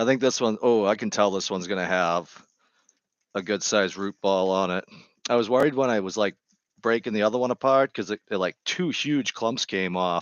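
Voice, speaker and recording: A man with a Boston accent speaks at a fairly quick pace. His pitch is fairly low, with ordinary variation. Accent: thick Boston. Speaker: gardening live streamer. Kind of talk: casual live stream chat. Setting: home live stream with headset.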